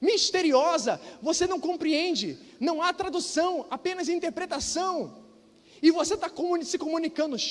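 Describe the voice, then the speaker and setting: His tone animated, a man speaks at an extremely high pitch with ordinary pitch variation. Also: moderate pace. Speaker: pastor. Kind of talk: sermon.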